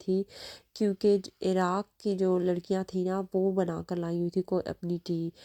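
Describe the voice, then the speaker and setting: In a dry, close sound with no echo, a woman speaks fairly slowly in a dark, mellow tone with monotone, flat intonation. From Pakistan. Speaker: family vlogger. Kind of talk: casual vlog narration.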